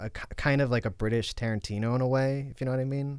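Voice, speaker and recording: A man with a medium pitch delivers his words at a very fast pace. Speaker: podcast host from another show. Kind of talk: casual chat. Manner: halting.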